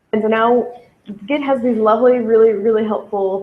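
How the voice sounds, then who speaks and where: A plain, everyday voice at a moderate pace. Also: woman. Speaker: coding workshop instructor. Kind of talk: live coding tutorial.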